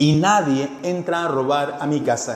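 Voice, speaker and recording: A man talks in an animated tone. Noticeable background noise and audible room echo surround him. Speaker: pastor. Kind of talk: sermon. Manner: animated, engaging audience.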